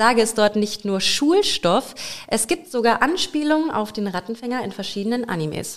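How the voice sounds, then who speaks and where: A woman with a normal speaking voice talks at a moderate pace, her fairly high pitch moving in a lively intonation. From Lower Saxony, Germany (Bad Münder near Hameln). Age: 20s. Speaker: podcast co-host and part-time singer. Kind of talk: casual chat.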